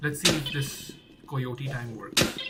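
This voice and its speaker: Against noticeable background noise, the speaker talks at a very slow pace with a non-native accent. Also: man. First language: not English. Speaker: game developer streamer. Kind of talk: live coding stream. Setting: live stream. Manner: thinking aloud, repetitive.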